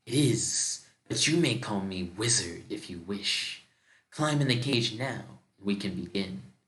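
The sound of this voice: This is a put-on character voice at a fairly slow pace. Hissing runs through it. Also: man, fairly low pitch for a man.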